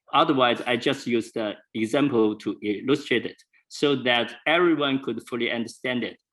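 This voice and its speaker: Talking fairly quickly with a non-native accent, a man speaks at a medium pitch with ordinary variation. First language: not English. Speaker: presenter. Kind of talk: lecture. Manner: halting, many fillers.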